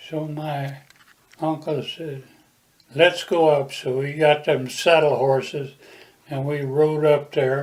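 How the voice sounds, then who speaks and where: Somewhat breathy, fairly high male voice with an American accent, very slow with long, frequent pauses, monotone and flat, with big swings in loudness. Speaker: war veteran. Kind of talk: interview answer, oral history.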